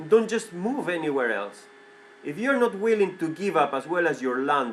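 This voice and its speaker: A man with a Spanish accent speaks at a high pitch, with very wide pitch swings. Noticeable background noise is present. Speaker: vlogger. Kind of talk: opinion monologue. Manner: halting, repetitive; animated, heated.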